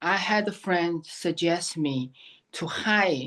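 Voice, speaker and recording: A very slow delivery against a quiet background. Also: woman. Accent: Chinese. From China, Shanghai. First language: Chinese. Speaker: memoir author. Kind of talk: interview. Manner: halting.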